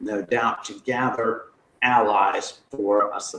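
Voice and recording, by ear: The words are read aloud. It is done in a natural voice.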